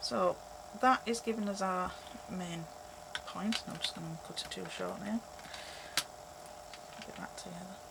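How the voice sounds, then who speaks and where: With a Yorkshire accent, a woman talks at a moderate pace, leaving long, frequent pauses over noticeable background noise. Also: big swings in loudness. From Yorkshire, England. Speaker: craft tutorial creator. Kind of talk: tutorial. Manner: casual, conversational.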